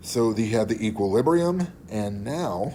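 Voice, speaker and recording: In audible room echo, a man with a dark, mellow tone speaks in very wide pitch swings. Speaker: chemistry teacher. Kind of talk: lecture. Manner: casual.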